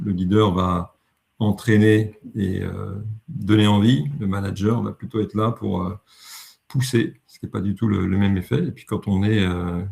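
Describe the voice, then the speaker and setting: A somewhat breathy male voice at a fairly slow pace with ordinary pitch variation and big swings in loudness. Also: fairly low pitch for a man. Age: 60s. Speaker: leadership coach. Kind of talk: webinar presentation. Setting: online webinar. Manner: hesitant, self-correcting.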